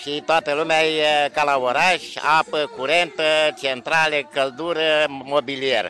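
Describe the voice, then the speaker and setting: A man with a fairly high pitch speaks at a very slow pace with fairly even intonation, in a dry sound with no echo and light background noise. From Moldavia, Romania. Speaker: village mayor. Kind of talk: interview.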